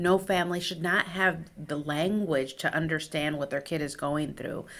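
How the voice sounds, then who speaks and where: A woman with a Spanish accent, very deep and low in pitch, with ordinary pitch variation and a moderate pace. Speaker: clinical psychologist, nonprofit director. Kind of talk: interview.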